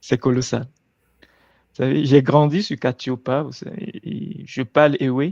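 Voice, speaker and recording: Recorded with a dry, close sound and no echo, a man talks at a medium pitch with ordinary pitch variation. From Togo. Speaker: guest. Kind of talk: casual chat.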